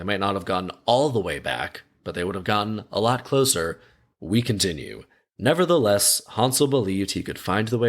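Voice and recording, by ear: The voice reads aloud in a natural voice with ordinary pitch variation. The background is quiet.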